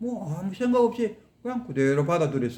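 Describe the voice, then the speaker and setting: A man speaks in a dark, mellow tone. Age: 60s. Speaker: Buddhist teacher. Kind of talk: dharma lecture. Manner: conversational, rhetorical questions.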